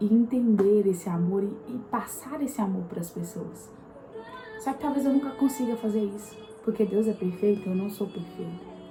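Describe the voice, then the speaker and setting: A soft-spoken woman talks with ordinary pitch variation. Noticeable background noise runs behind her. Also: medium pitch for a woman, moderate pace. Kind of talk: devotional talk to camera. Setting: home at night, apartment.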